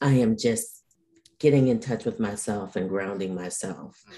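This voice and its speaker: A woman's dark, mellow tone with ordinary pitch variation and an American accent. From Detroit, US Midwest. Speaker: burnout expert and coach. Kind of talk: interview chat.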